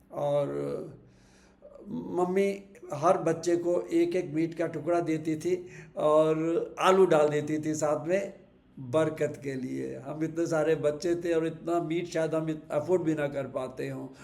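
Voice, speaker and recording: With audible room echo around him, a man speaks at a fairly high pitch in a monotone, flat way. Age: 70s. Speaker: vlogger sharing memories. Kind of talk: personal reminiscence monologue. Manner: reflective, with hesitations.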